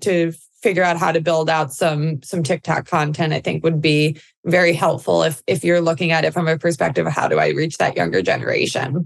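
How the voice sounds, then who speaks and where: In an American accent, a woman speaks at a moderate pace with a fairly low pitch and vocal fry. Her loudness stays very even. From New York. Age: 30s. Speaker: digital advertising executive. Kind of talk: casual interview.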